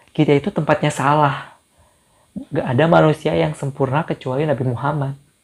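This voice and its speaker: A normal speaking voice from a man, fairly high in pitch, with ordinary pitch variation and a fairly quick pace. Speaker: YouTuber. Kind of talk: casual Q&A vlog.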